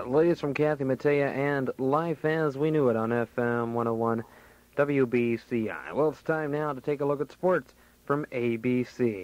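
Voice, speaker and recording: At a moderate pace, this man talks in an ordinary speaking voice, medium in pitch with ordinary pitch variation. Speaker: radio DJ / on-air host. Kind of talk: radio show air check, casual host patter. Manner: casual, jokey, upbeat.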